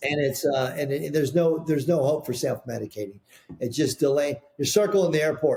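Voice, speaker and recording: A man speaks at a fairly quick pace with ordinary pitch variation. His fairly high voice has a dark, mellow tone and is somewhat breathy. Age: 60s. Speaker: founder of a painting products brand. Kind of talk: podcast interview. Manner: halting, many repeated words.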